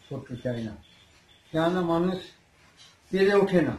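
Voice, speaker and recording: A man's high-pitched voice is heard with audible echo from the room. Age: 60s. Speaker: handloom saree weaver and seller; seller. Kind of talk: product demonstration. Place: shop. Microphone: phone near.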